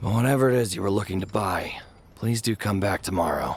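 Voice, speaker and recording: Putting on a raspy character voice, a man speaks at a moderate pace and a fairly low pitch. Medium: video game. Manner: anxious.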